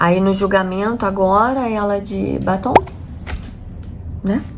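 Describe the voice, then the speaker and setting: A woman with a Rio de Janeiro accent, medium in pitch, with ordinary pitch variation. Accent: Carioca Brazilian Portuguese. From Rio de Janeiro, Brazil. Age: 40s. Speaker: homemaker and vlogger. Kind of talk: casual talk to camera.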